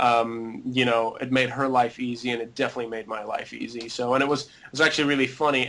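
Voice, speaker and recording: A man talks at a very fast pace with monotone, flat intonation. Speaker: visa lottery winner client. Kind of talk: interview testimonial.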